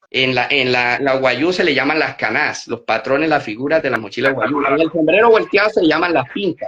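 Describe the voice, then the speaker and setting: A man's fairly high voice, lively in intonation, at a moderate pace with hardly any pauses. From Colombian Caribbean coast, Magdalena. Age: 40s. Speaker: artisan crafts business manager and cultural researcher. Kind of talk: podcast interview.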